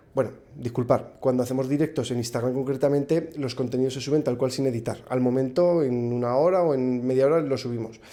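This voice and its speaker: A man with a strong Aragonese accent speaks at a very fast pace with hardly any pauses, using a dark, mellow tone, medium pitch and fairly even intonation. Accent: strong northern Spanish (Aragonese). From Spain, Zaragoza (Aragon). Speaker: podcast guest, content creator. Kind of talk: casual interview chat.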